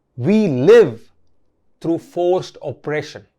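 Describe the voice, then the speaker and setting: A man is speaking. The background is quiet. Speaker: motivational speaker. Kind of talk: motivational talk. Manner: slow.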